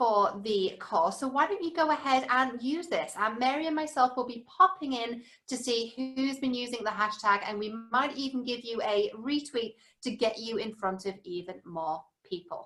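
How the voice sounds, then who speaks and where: With a British accent, a woman speaks at a moderate pace in a high, bright, sharp tone, her pitch swinging very widely. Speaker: publishing and media strategist. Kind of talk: webinar presentation.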